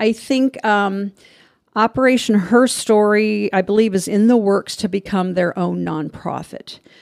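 With an American accent and a normal speaking voice, a woman talks at a fairly slow pace with ordinary pitch variation, on a very clean, dry and close recording with no echo and a silent background. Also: medium pitch for a woman. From US Midwest, central Illinois. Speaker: retired army nurse and veteran. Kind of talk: interview conversation.

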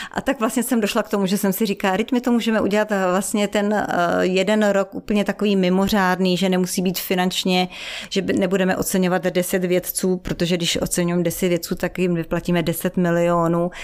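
Speaking at a fairly quick pace, a woman has an unremarkable speaking voice with fairly even intonation and very even loudness. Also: medium pitch for a woman. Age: middle-aged. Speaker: foundation director. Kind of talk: interview.

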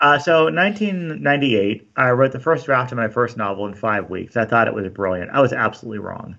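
Using lively intonation, a man with an American accent speaks at a moderate pace. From US, Southern California. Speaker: author and high school teacher. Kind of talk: interview.

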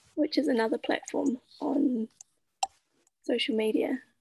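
A woman talks at a moderate pace in a high pitch with ordinary pitch variation, captured in dry, close sound with no echo. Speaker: podcast host. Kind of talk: interview conversation.

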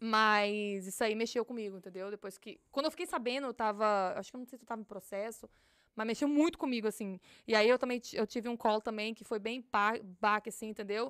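Over a very clean recording with a silent background, a woman talks at a fairly quick pace and fairly high pitch. Her loudness swings widely, her pitch variation is ordinary, and the sound is dry and close with no echo. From Brazil, Minas Gerais (Galileia). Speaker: police officer. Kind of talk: casual interview.

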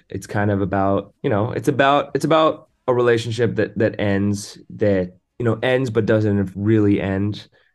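Speaking at a moderate pace, a man with an American accent has a fairly low pitch and ordinary pitch variation. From Southern California. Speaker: rock singer-songwriter. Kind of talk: interview.

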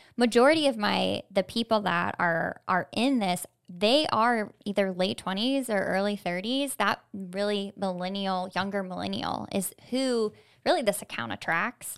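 A woman speaks in a plain, everyday voice with an American accent. Her pitch is medium, with ordinary variation. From Florida. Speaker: social media founder, former mortgage lender. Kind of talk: casual interview. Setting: studio.

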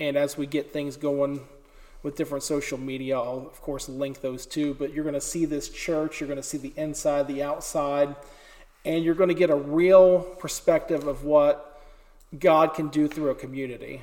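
Keeping a moderate pace, a man speaks in a fairly high pitch with a monotone, flat intonation. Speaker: podcast host. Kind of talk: interview. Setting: old church with echo.

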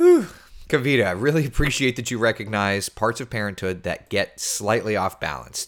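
A man talks at a moderate pace and medium pitch in an animated tone, with ordinary pitch variation. The recording is very clean, with a silent background. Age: 30s. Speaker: TV meteorologist. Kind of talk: casual weather livestream chat.

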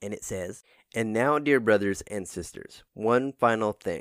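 A man with a medium pitch and ordinary pitch variation, an unremarkable speaking voice at a fairly slow pace, on a very clean recording with a silent background. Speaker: devotional podcaster. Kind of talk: morning prayer and devotional. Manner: casual, upbeat, friendly; fervent, earnest.

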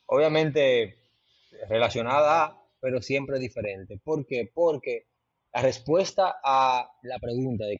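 A man with an unremarkable speaking voice and a medium pitch talks at a fairly slow pace, the sound dry and close with no echo. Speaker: travel content creator. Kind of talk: casual interview.

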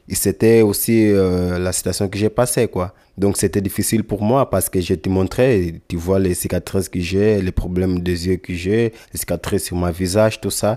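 Very deep, low-pitched man's voice with a dark, mellow tone, fairly even intonation and a moderate pace, in a very clean recording with a silent background. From Angola. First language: Lingala (speaking French). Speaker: young migrant. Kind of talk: testimony. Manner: halting.

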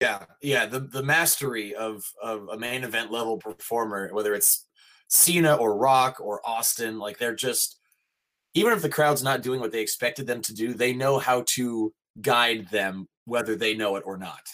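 Here a man with a medium pitch talks at a moderate pace in an ordinary speaking voice. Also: ordinary pitch variation. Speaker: voice actor, mocap performer and wrestling announcer. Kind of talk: casual interview chat.

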